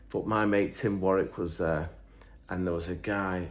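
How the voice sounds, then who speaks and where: Audible room echo surrounds a man with an English accent whose very deep, low voice keeps a fairly even intonation. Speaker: engine builder and YouTuber. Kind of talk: casual chat, reading out viewer comments. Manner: rambling, hesitant with fillers.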